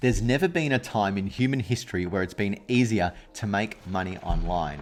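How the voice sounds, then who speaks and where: Fairly quick, lively speech from a man with an Australian accent and fairly low pitch, over light background noise. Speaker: e-commerce coach. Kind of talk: tutorial. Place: home room. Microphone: studio mic.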